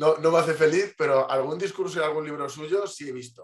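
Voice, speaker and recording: A man is speaking. His pace is fairly quick. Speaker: interview guest. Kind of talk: interview answer. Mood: calm, reflective. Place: home room. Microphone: video call.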